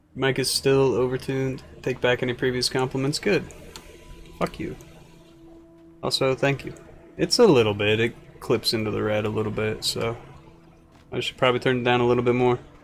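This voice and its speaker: A man's medium-pitched voice at a fairly quick pace, with fairly even intonation, long and frequent pauses, and music in the background. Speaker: video game streamer. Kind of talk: live game commentary. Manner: mumbles when quiet.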